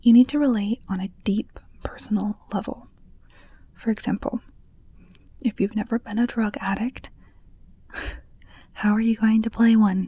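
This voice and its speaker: Soft-spoken and somewhat breathy, a woman with a fairly high pitch and a dark, mellow tone speaks at a moderate pace with fairly even intonation. She leaves long, frequent pauses, and the sound is dry and close with no echo. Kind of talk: ASMR book reading with commentary. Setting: home studio microphone.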